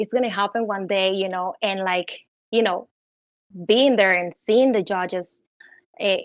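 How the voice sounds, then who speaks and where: A woman with a Cuban accent, fairly slow pace, fairly even intonation, and long, frequent pauses. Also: medium pitch for a woman. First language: Spanish. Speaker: singer. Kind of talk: interview. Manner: hesitant, many fillers.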